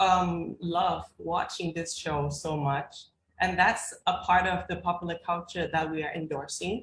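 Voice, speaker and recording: A woman with a Thai accent, fairly low in pitch, at a fairly slow pace, with monotone, flat intonation. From Thailand. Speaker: graduate student panelist. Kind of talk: panel discussion. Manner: halting.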